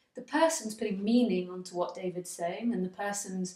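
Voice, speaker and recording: In an English accent, a woman with a medium-pitched, somewhat breathy voice speaks at a moderate pace with fairly even intonation. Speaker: spiritual teacher. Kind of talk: spiritual dialogue.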